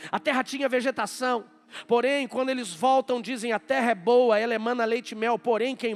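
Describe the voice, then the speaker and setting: Here a man speaks at an extremely high pitch. His intonation stays fairly even. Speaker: pastor. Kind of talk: sermon. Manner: fast.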